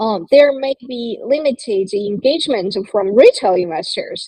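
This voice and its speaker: With a Chinese accent, a woman speaks in a dark, mellow tone with ordinary pitch variation, the sound dry and close with no echo. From China. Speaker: crypto media co-founder. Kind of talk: panel discussion. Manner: halting, many fillers.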